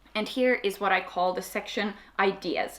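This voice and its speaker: A woman speaks at a moderate pace with a medium pitch. Her pitch variation is ordinary. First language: Swedish. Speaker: YouTuber. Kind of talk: tutorial. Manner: casual.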